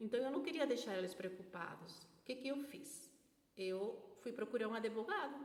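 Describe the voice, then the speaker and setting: The speaker has a Spanish accent and lively intonation, moving at a moderate pace. Noticeable background noise and audible room echo are present. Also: woman. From Peru, Lima. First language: Spanish (speaking Portuguese). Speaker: vlogger. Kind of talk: personal testimony. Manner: halting, with fillers.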